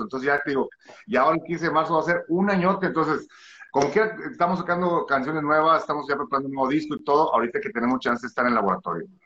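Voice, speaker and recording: Talking at a very fast clip, a man with a fairly high pitch uses lively intonation. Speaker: musician and singer. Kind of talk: interview.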